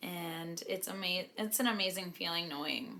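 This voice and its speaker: A woman's fairly low pitch, bright, sharp tone and ordinary pitch variation at a fairly slow pace. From Canada. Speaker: professional hockey player. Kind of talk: vlog narration. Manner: casual.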